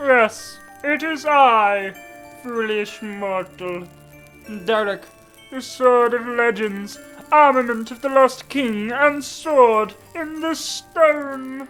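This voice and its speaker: A female-sounding put-on character voice, pitched high, moves at a very slow pace with long, frequent pauses. Faint music plays in the background. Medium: read story. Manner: grandiose, scornful.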